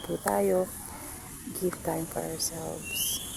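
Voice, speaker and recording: Soft-spoken delivery comes through over noticeable background noise. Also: woman. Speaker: family vlogger. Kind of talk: casual vlog talk. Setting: outdoors. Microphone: no microphone.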